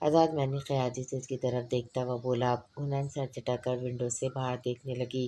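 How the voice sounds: The clip features a natural reading voice. That reading voice carries from start to finish.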